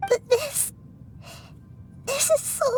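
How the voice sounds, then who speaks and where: In a put-on character voice, a female-sounding speaker uses a gentle tone at an extremely high pitch over clear background noise. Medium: video game. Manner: earnest, gentle.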